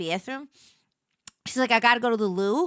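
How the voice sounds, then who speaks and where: A woman with a New York accent, fairly high-pitched with ordinary pitch variation, in a very clean, silent recording with dry, close sound and no echo. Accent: New York accent from Brooklyn-born mother. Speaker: streamer. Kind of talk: casual chat. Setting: livestream.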